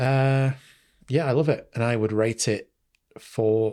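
On a very clean recording with a silent background, a man speaks with a Mancunian accent. His pitch is medium, his pace fairly slow, and his intonation fairly even. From Manchester, England. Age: 40s. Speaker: podcaster and film fan. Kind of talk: casual chat.

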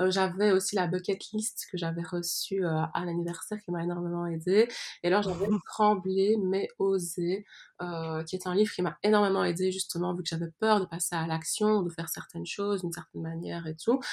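Soft-spoken and fairly even in intonation, a woman talks at a moderate pace. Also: medium pitch for a woman. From Belgium. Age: 20s. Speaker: astrologer. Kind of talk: interview.

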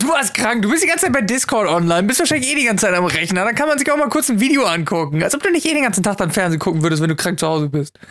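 The pitch swings very widely while the loudness stays very even. Delivery is very fast, with hardly any pauses. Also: woman, medium pitch for a woman. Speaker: podcast co-host. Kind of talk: casual chat. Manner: louder show voice. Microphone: mic placed very close.

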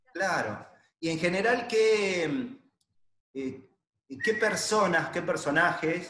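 Very slowly, a man talks in a room with audible echo. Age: 50s. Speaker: podcast host, multilevel marketing distributor. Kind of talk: casual interview.

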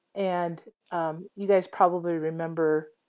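Very slow and monotone, a woman speaks with flat intonation and a fairly low pitch. She has a Midwestern American accent. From US Midwest, Iowa. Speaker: airline captain. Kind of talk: interview, personal story.

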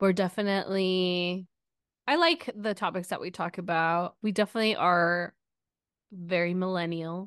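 Against a quiet background with a dry, close sound and no echo, a woman of medium pitch speaks at a fairly slow pace with fairly even intonation and long, frequent pauses. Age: 30s. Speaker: podcast co-host. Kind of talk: casual chat.

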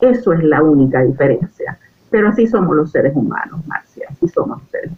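This woman has an unremarkable speaking voice, fairly low in pitch, with lively intonation. She keeps a moderate pace. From Venezuela. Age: 60s. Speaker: life coach, retired diplomat. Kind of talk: interview about personal growth.

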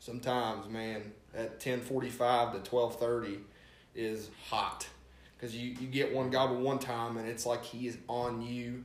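In an Appalachian accent, the speaker talks at a moderate pace with monotone, flat intonation, amid noticeable background noise and audible room echo. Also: man, medium pitch for a man. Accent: Appalachian American. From West Virginia. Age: 20s. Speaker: turkey hunter. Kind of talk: casual chat.

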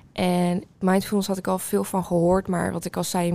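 Her tone dark and mellow, a woman talks at a moderate pace with monotone, flat intonation. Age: 20s. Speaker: student. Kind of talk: casual chat.

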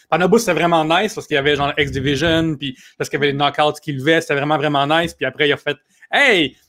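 A man talks at a very fast pace. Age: 30s. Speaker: comedian and writer. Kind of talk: casual chat.

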